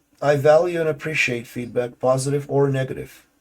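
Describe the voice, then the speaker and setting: The man's fairly high voice sounds somewhat breathy. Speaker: gaming YouTuber. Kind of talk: gaming guide tutorial. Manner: casual, with filler words.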